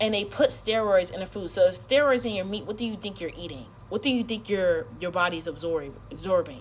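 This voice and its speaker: Animated and lively in intonation, a woman speaks at medium pitch with vocal fry. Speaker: social media creator. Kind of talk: casual rant to camera. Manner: fast.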